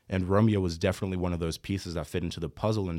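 A man talks at a very fast pace in a very deep, low pitch. The recording is very clean, with a silent background. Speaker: nonprofit founder. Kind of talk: casual chat.

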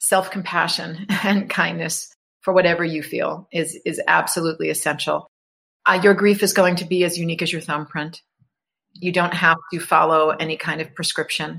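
In an American accent, a woman talks at a moderate pace in a flat monotone, her fairly low voice bright and sharp with vocal fry, on a very clean recording over a silent background. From New York. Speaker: author and grief educator. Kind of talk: interview.

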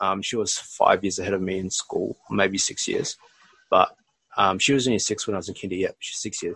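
Here a man talks with an Australian accent. The sound is dry and close, with no echo. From Australia (rural NSW and southwest Sydney), Bangladeshi family. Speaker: podcast host. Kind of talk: casual chat.

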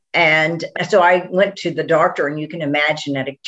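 With an American accent, a woman speaks in a very deep, low pitch and fairly even intonation. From Texas. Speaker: physician. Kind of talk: interview.

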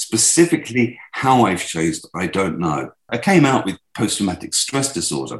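A man with a British accent, very wide pitch swings, vocal fry and a moderate pace. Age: 60s. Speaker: former war correspondent. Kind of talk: interview.

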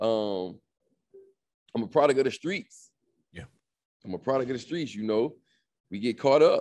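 With an American accent, the speaker has an animated tone and lively intonation at a moderate pace. Long, frequent pauses break up the speech, and the loudness swings widely. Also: man, medium pitch for a man. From South Florida (Miami). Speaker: digital business coach, entrepreneur. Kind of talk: podcast interview.

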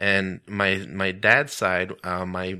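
With an American accent, a man delivers his lines in a bright, sharp tone at a fairly low pitch, the intonation monotone and flat. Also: very clean recording, silent background. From US-Mexico border, El Paso, Texas. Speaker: stand-up comedian and show host. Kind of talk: casual interview. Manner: halting, many fillers.

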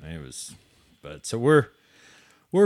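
A man talks with an American accent at a moderate pace. The recording is very clean, with a silent background. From southwest Missouri, US. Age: 40s. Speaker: drag racer and race organizer. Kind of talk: casual chat. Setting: studio.

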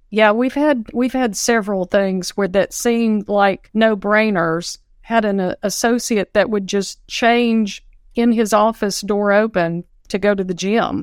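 With a Southern US accent, a woman speaks at a fairly slow pace in a fairly high voice with fairly even intonation. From Nashville, Tennessee, US South. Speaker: dental office manager. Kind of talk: casual panel discussion. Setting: video call.

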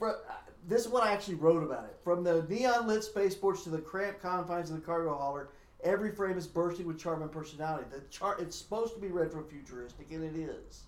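Talking at a very fast pace, a man with a high pitch and ordinary pitch variation is heard with audible room echo. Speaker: podcast co-host reviewing movies. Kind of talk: casual chat; reading aloud.

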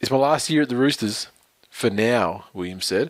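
This man speaks with an Australian accent. He keeps a moderate pace. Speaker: podcast co-host. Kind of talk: casual chat.

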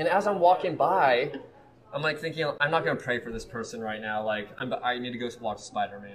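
A man with an American accent and medium pitch speaks with lively intonation and big swings in loudness over noticeable background noise. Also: fairly quick pace. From US Midwest, Kansas City. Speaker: evangelist. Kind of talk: casual interview. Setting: live in a cafe. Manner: animated.

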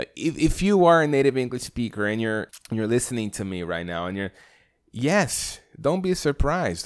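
A man speaks with a Brazilian accent, his pitch swinging very widely. The recording is very clean with a silent background. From Brazil, Rio de Janeiro. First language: Portuguese. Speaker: podcast host. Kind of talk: solo podcast introduction monologue. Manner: hesitant, many fillers.

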